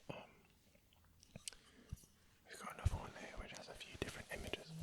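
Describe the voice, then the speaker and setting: Whispering at a very fast pace, with long, frequent pauses over noticeable background noise. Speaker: ASMR creator. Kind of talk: relaxed ASMR ramble. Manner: soft-spoken.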